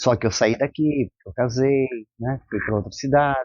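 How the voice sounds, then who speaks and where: A man with a normal speaking voice talks at a fairly slow pace and a medium pitch, with ordinary pitch variation. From Brazil, Londrina (Paraná). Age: 60s. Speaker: local resident. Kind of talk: interview testimony.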